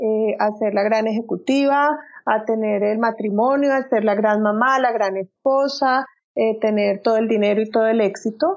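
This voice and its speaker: A plain, everyday voice at a moderate pace, with very even loudness and fairly even intonation. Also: woman, fairly high pitch for a woman. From Colombia. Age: 40s. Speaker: personal transformation coach. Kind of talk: interview.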